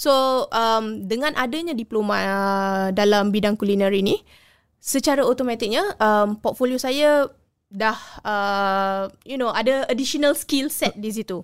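In a plain, everyday voice, a woman speaks at a fairly high pitch with ordinary pitch variation on a very clean recording with a silent background. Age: 30s. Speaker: culinary graduate. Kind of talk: interview.

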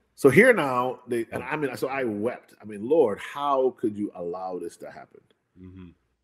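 A man with an American accent talks in a normal speaking voice at a medium pitch and moderate pace. His intonation is lively, with big swings in loudness. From Hartford, Connecticut, US, to Jamaican parents. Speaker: physician and preacher. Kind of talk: testimony.

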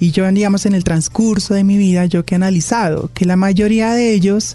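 A woman with a medium pitch talks at a moderate pace while noticeable background noise carries on. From Colombia, Pasto (Nariño). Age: 20s. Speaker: podcast guest, engineer and model. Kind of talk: casual interview.

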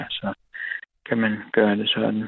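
Very slowly, a man talks at a fairly low pitch. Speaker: caller, trained silversmith. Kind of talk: casual chat. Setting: phone call. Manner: halting.

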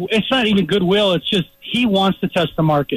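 Noticeable background noise beneath a man's fairly even intonation. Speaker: sports reporter. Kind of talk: sports radio interview.

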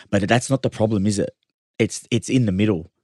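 A man talks at a fairly quick pace in a fairly low pitch with fairly even intonation. The sound is dry and close with no echo, over a quiet background. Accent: Australian. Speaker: rugby league player. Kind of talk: casual sports chat.

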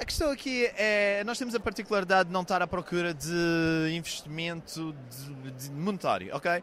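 Speaking with a Madeiran accent, a man uses a high pitch, ordinary pitch variation and a moderate pace. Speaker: startup founder. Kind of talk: pitch interview.

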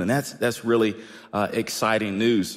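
The speaker has an American accent. Their tone is animated. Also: man. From Washington, D.C. area. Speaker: pastor. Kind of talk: sermon. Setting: church.

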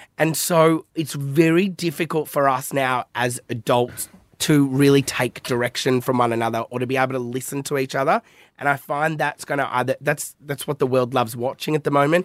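Recorded very cleanly against a silent background, with a dry, close sound and no echo, a man with an Australian accent talks fairly fast in a fairly high voice. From Melbourne, Australia. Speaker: social media comedian. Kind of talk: casual podcast interview. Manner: animated, swears casually.

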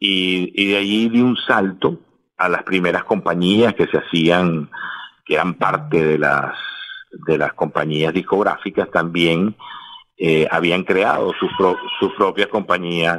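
A man speaks very slowly with a very deep, low pitch and ordinary pitch variation. His loudness stays very even, broken by long, frequent pauses. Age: 50s. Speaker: music manager. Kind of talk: interview. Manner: halting, many repeated words.

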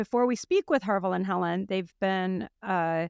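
An unremarkable speaking voice from a woman at a medium pitch and fairly slow pace, with a dry, close sound, no echo, and a very clean recording with a silent background. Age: 50s. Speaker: podcast host and company founder. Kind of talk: casual interview chat.

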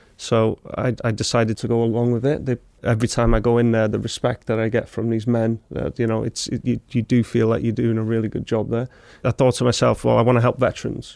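In a dry, close recording with no echo, a man with a North Welsh accent speaks very fast at a medium pitch in a monotone, flat way. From Wrexham, North Wales. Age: 20s. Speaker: army veteran. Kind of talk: casual chat.

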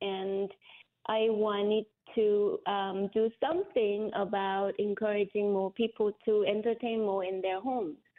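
Speaking fairly slowly, a woman holds a medium pitch in a monotone, flat delivery. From South Korea, Seoul; teens in Sydney, Australia. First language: Korean. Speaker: cookbook author. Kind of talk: interview.

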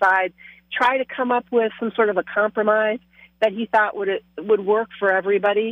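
With a plain, everyday voice, a woman with an American accent talks at a moderate pace and a fairly high pitch, her intonation fairly even. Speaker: state legislator. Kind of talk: radio interview. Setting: phone call.

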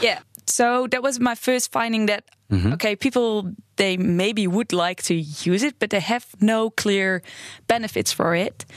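Speaking at a fairly slow pace with a Dutch accent, a woman keeps her fairly high voice very even in loudness, with ordinary pitch variation, in a dry, close sound with no echo over a quiet background. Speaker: interaction design researcher. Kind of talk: interview. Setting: studio.

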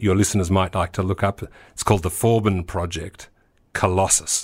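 Here a man with an Australian accent has a very deep, low pitch. His delivery is fairly quick, in a monotone, flat intonation. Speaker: tech entrepreneur and investor. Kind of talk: interview.

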